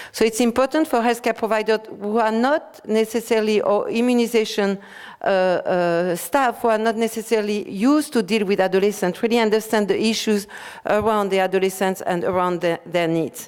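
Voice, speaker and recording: In a very clean recording with a silent background, a woman speaks fairly quickly at a fairly high pitch, with ordinary pitch variation and very even loudness. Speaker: public health official presenting guidelines. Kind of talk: conference presentation. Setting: conference workshop. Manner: fast; hesitant, many fillers.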